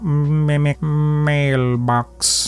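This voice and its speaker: With music in the background, a put-on character voice talks at a low-to-middle pitch. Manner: sinister, drawn out.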